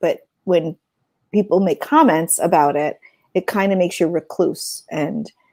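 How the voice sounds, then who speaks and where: At a fairly low pitch and a moderate pace, a woman speaks with a dark, mellow tone and ordinary pitch variation in a dry, close sound with no echo. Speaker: podcast co-host. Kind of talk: casual chat. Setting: livestream. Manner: loud.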